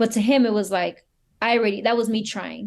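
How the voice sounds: A woman's medium-pitched, slightly mellow voice with vocal fry at a fast pace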